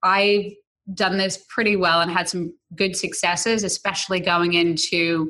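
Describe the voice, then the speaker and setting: A woman with an American accent speaks at medium pitch and a moderate pace, her tone bright and sharp against a quiet background. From New York City, the Bronx. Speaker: marketing executive. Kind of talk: interview.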